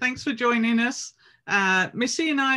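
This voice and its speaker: In a very clean recording with a silent background, a woman with an English accent speaks at a moderate pace with ordinary pitch variation. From England. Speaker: professor of physical education. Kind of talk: casual academic conversation.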